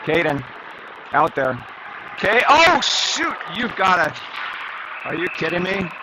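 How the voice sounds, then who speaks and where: The pace of this man's speech is very slow. Noticeable background noise can be heard. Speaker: youth hockey game commentator. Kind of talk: live commentary; casual recap. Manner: animated.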